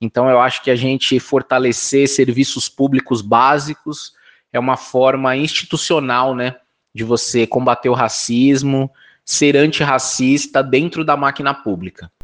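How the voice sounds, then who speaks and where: Over a quiet background, a man talks in a normal speaking voice with fairly even intonation and a dry, close sound with no echo. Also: medium pitch for a man, fairly slow pace. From Brazil, São Paulo (north zone). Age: 40s. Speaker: political candidate, activist. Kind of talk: interview.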